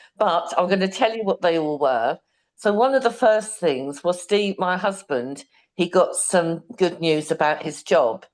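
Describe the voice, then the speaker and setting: Speaking with a British accent, a woman uses a fairly low pitch and lively intonation at a fairly slow pace. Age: 60s. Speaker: program participant. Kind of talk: testimony. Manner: halting.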